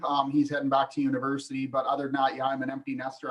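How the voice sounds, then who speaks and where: A man is speaking. He has a western Canadian accent. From British Columbia, Canada (Vernon). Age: 50s. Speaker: hunting TV co-host, former research biologist. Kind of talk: casual podcast interview.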